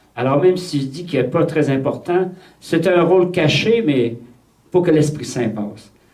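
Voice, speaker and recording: A man speaks with a Quebec accent at a moderate pace. Audible room echo surrounds his voice. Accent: Québécois French. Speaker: priest leading a retreat. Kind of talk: retreat talk. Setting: retreat with audience of nuns. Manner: repeats words, hesitant starts.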